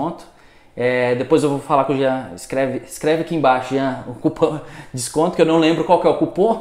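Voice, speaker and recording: A man's fairly high voice in a Minas Gerais accent, at a fairly quick pace with ordinary pitch variation and big swings in loudness, against noticeable background noise. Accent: mineiro Brazilian Portuguese. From Minas Gerais, Brazil. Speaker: solar energy entrepreneur. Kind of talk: casual podcast interview. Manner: fast.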